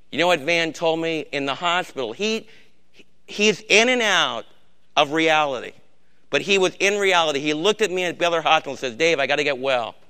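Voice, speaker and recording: A man with a fairly high voice talks at a fairly quick pace in a bright, sharp tone over a quiet background. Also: ordinary pitch variation. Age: old. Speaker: Bible study leader. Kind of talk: sermon. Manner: emphatic.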